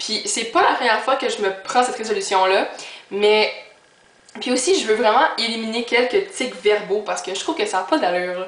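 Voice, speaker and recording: In a Quebec accent, the voice moves at a moderate pace with ordinary pitch variation, against noticeable background noise and audible room echo. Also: woman, fairly high pitch for a woman. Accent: Québécois French. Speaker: YouTuber. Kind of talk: casual vlog. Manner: filler-heavy.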